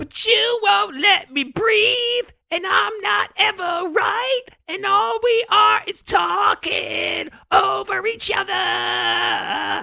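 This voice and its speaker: In a put-on character voice, the speaker delivers lines very slowly in a strained, extremely high pitch with a dramatic tone. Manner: exaggerated dramatic emotion, strained.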